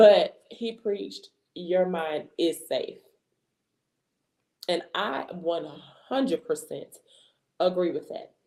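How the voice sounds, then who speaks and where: A woman talks at a very slow pace with long, frequent pauses. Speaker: podcast host. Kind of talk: solo podcast talk. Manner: casual, with many fillers.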